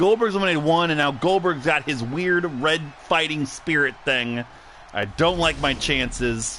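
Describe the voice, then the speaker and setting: A man talks at a fairly slow pace with lively intonation, over noticeable background noise. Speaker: wrestling podcast host and commentator. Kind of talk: live commentary of simulated wrestling. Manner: loud; animated.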